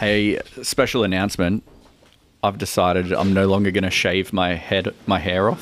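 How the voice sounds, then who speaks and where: Speaking with an Australian accent, a man keeps a fairly low pitch, monotone, flat intonation, very even loudness and a moderate pace. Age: 30s. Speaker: podcast co-host. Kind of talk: casual chat.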